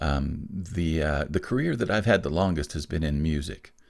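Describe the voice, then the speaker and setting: A man with very deep, low pitch and vocal fry speaks on a very clean recording with a silent background. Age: 60s. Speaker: musician and creative career coach. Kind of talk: podcast interview.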